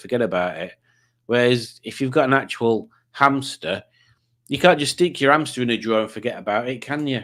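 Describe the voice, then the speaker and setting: The recording is very clean with a silent background, and the speech moves at a fairly quick pace with ordinary pitch variation. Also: man. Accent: Yorkshire. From Yorkshire, northern England. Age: 50s. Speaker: quiz show host streamer. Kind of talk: casual livestream chat.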